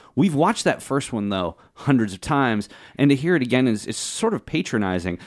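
Very wide pitch swings at a fairly quick pace. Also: man, very clean recording, silent background. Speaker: panelist. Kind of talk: casual chat.

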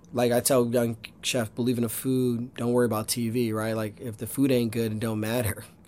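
A man talks very fast in an American accent. His pitch sits in the medium range. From US Northeast, Pennsylvania (Poconos). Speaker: chef and restaurant owner. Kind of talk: interview. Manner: animated.

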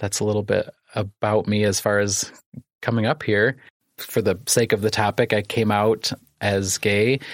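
A man's fairly low voice with a Midwestern American accent, monotone and flat, at very even loudness, in a dry, close sound with no echo. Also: moderate pace. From US Midwest, Iroquois County, Illinois. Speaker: therapist and community organizer. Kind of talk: interview conversation.

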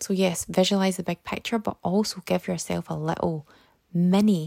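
Recorded very clean against a silent background, a woman with a British accent speaks at a moderate pace, the sound dry and close with no echo. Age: 30s. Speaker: self-development podcaster and author. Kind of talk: solo motivational podcast talk.

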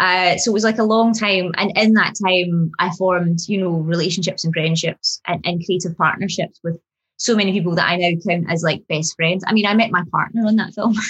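A woman's ordinary speaking voice at medium pitch, with fairly even intonation, a fairly quick pace and very even loudness. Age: 30s. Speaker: screenwriter. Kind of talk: interview.

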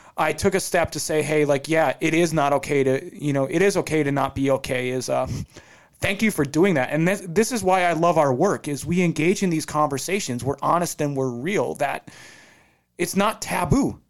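A man with a plain, everyday voice speaks at a moderate pace and fairly high pitch with ordinary pitch variation. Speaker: Air Force veteran. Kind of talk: casual chat.

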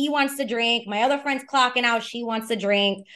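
A woman's fairly high voice with a New York accent against a quiet background. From New York City, Lower East Side of Manhattan. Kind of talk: storytelling interview.

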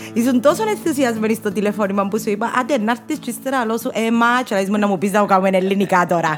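Over music in the background, a woman with a Cypriot accent speaks at a very fast pace and a fairly high pitch, with ordinary pitch variation and hardly any pauses. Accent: Cypriot Greek. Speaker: podcast host. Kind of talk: interview. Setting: studio.

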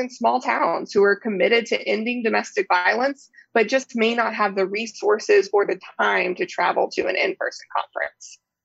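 A woman talks at a moderate pace with vocal fry. Her pitch is fairly high, with ordinary pitch variation. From Texas, Houston area. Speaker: domestic violence program director. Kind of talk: interview.

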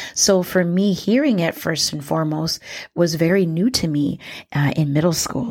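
A woman speaks at a moderate pace with a very deep, low pitch and a dark, mellow tone. Her intonation is lively, and the recording is very clean with a silent background. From Minnesota (born in Liberia). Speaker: educator and podcast host. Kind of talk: educational monologue. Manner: frequent fillers (um, uh).

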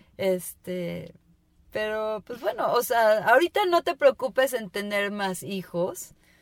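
Someone with a Mexican accent speaks at a very slow pace in a dry, close recording with no echo. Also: woman, fairly high pitch for a woman, lively intonation. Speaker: podcast co-host. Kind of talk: casual chat.

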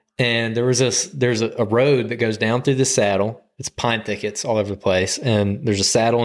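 A man in an Alabama accent, medium in pitch, with fairly even intonation and a fairly quick pace. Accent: US Southern (Alabama). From Alabama, Birmingham area. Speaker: hunting podcast co-host. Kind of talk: casual chat. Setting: studio.

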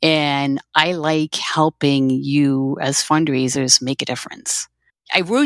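A woman speaks with a Dutch accent and fairly even intonation. The recording is very clean with a silent background, and the sound is dry and close with no echo. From southern Netherlands, near German border. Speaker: fundraising consultant. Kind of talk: podcast interview.

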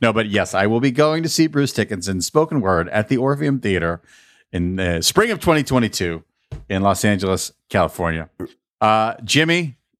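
A man's pitch swings very widely in a very clean recording with total silence behind him. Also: fairly low pitch for a man, moderate pace. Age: 50s. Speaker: podcast host. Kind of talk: casual chat.

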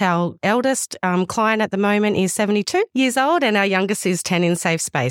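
Recorded very cleanly against a silent background, a woman talks at a moderate pace with ordinary pitch variation, the sound dry and close with no echo. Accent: Australian. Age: 30s. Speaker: youth service manager. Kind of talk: interview.

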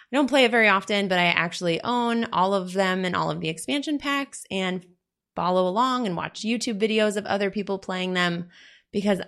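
In a plain, everyday voice, a woman talks at a moderate pace and medium pitch with ordinary pitch variation against a quiet background. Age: 20s. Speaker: podcast host, business coach. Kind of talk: casual monologue.

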